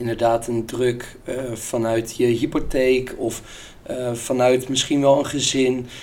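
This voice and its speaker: Slow-paced and monotone, a man speaks at a fairly slow pace with flat intonation. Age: 20s. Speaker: business student and sales employee. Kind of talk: casual interview.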